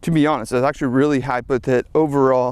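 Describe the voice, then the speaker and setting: This man rattles along at a very fast pace, his pitch fairly high. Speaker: skateboarder and video creator. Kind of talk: vlog while skating and reviewing a drone. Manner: casual, with fillers.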